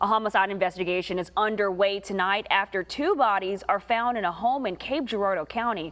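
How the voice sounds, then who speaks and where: Speaking at a fairly quick pace with hardly any pauses, a woman has a plain, everyday voice at medium pitch with ordinary pitch variation. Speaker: TV news anchor and reporter. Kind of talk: TV news anchor and field reporter reel. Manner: polished, clear, broadcast delivery.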